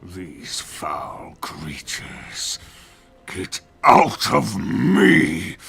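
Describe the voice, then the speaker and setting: A raspy, growling put-on character voice speaks at a very slow pace. Faint music plays in the background. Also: man, very deep, low pitch for a man. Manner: angry, furious.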